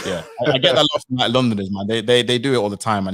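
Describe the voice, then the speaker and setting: This man talks at a medium pitch with a Midlands accent and ordinary pitch variation. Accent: northern-sounding Midlands English. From Nottingham, English Midlands. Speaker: content creator. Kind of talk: casual chat. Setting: live stream.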